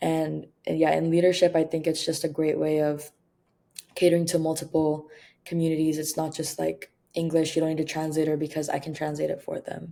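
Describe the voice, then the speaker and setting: A woman speaks at a fairly quick pace in a very deep, low pitch. Her tone is dark and mellow, her intonation monotone and flat. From Guam (Filipino family). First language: Tagalog / Kapampangan. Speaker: university student. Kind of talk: interview.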